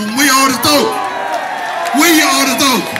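A man speaks at a moderate pace. Loud background noise runs underneath. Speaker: rally speaker. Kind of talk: rally speech. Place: street.

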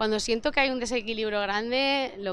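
Fairly quick speech from a woman, dry with no echo, over light background noise. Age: 40s. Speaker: film producer; interviewee. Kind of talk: interview. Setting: festival interview set. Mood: warm, reflective. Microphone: handheld.

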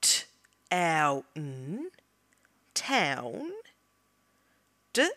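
The speaker talks at a very slow pace with an Australian accent. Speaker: teacher. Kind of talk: phonics lesson read for children. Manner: slow, clear.

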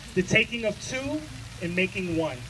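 This man speaks at a moderate pace with a high pitch and a fairly bright tone over faint background noise.

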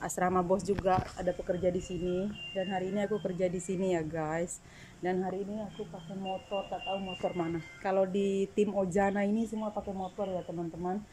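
Noticeable background noise surrounds a woman's voice. She talks at a fairly quick pace in a monotone, flat way. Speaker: cleaning service worker vlogger. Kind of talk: casual vlog chat. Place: home room. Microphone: phone near.

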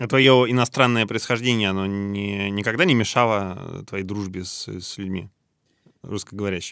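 An unremarkable speaking voice moves at a moderate pace with fairly even intonation, in a dry sound with no echo and a quiet background. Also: man, fairly low pitch for a man. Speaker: podcast host. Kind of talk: interview, casual conversation. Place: studio.

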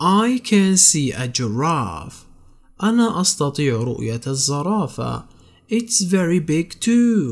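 A man in a Palestinian accent, high pitch with very wide pitch swings, a very slow pace, and a very clean recording with a silent background. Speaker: English tutor. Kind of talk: tutorial.

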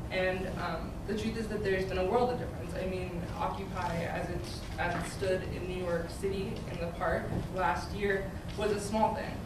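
A woman talks at a moderate pace with an American accent. Loud background noise and audible room echo fill the recording. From Maryland, between DC and Baltimore. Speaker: activist and art student. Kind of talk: panel discussion. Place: classroom.

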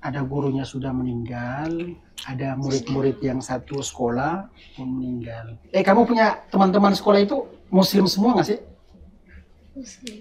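Over light background noise, a normal speaking voice moves at a moderate pace with big swings in loudness. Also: man, fairly high pitch for a man. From North Maluku, Indonesia. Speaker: Indonesian living in Gaza, aid worker. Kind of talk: casual interview about war experience. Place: home room. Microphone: lapel.

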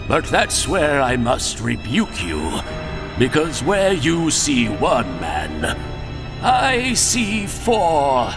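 Loud music plays in the background as a man talks at a very slow pace. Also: fairly high pitch for a man. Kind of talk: comic parody dub. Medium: fan dub. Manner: stiff-upper-lip, polite, defiant.

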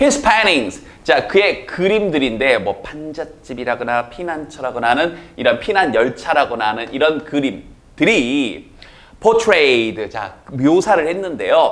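Very wide pitch swings mark this man's speech. He talks at a very slow pace. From South Jeolla, Korea; South Korea. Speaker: English teacher. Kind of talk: lecture. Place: studio. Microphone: lapel.

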